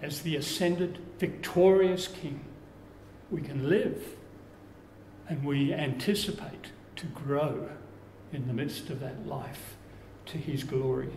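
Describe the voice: Amid strong room echo, a man talks at a slow pace with long, frequent pauses, his intonation fairly even and his tone slightly mellow. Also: fairly high pitch for a man.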